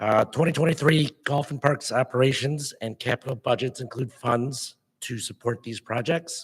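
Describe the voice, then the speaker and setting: A man of medium pitch speaks at a moderate pace with hardly any pauses, fairly even intonation and a somewhat breathy quality. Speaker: park district staff presenter. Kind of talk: public meeting presentation. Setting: board meeting. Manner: formal.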